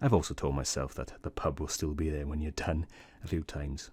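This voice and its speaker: Very deep and low, with vocal fry and a dark, mellow tone, a man speaks very fast on a very clean recording with a silent background. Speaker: science youtuber. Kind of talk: personal reflection. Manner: soft-spoken.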